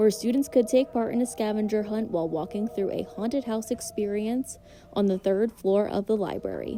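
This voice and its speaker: Music in the background behind a woman's fairly high voice, moderate in pace, with ordinary pitch variation. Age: 20s. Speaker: student news reporter. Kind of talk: news reporting. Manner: formal.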